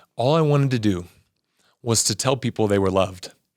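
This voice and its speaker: A man with a Southern California accent, animated tone, and fairly quick pace, on a very clean recording with a silent background. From Southern California, Torrance. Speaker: former athlete and religion teacher. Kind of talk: interview testimony. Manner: fast.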